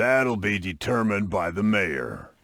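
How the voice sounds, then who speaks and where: Doing a put-on character voice, a man sounds raspy at a fairly low pitch. His intonation is lively and his pace moderate. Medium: video game.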